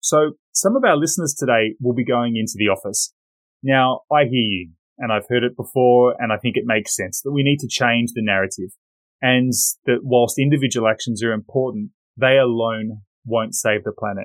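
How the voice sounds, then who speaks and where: A man talks at a moderate pace in an Australian accent, his pitch medium with ordinary variation. The sound is dry and close, with no echo. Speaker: podcast host, risk specialist. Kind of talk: interview.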